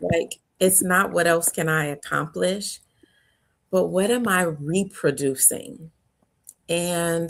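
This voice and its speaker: A woman's fairly low voice at a very slow pace, with ordinary pitch variation. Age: 50s. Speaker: conference founder and faith speaker. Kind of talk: interview. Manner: animated.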